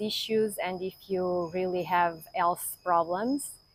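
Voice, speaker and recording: Fairly slow, fairly even speech in a Portuguese accent. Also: woman. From Portugal. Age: 50s. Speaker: yoga teacher. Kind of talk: course introduction to camera.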